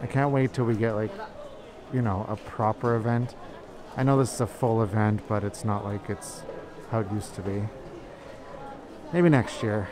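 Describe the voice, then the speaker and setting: Over crowd noise in the background, a man talks at a moderate pace with long, frequent pauses. The sound is dry with no echo, and his pitch varies in an ordinary way. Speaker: shopping vlogger. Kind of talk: casual vlog chat. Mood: excited, amused. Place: shop. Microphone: phone near.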